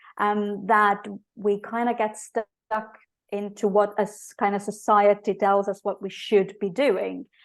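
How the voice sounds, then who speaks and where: A woman speaks in an Estonian accent at a fairly slow pace. Her intonation is monotone and flat. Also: medium pitch for a woman, quiet background. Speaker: business coach. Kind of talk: podcast interview. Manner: halting, many fillers.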